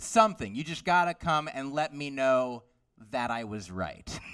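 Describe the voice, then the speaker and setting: This man has an ordinary speaking voice, pitched fairly high. His intonation is lively. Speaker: stand-up comedian. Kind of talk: stand-up comedy.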